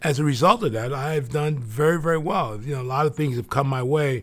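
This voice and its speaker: A somewhat breathy man's voice at medium pitch, with lively intonation. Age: 70s. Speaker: business executive. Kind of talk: interview. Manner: halting.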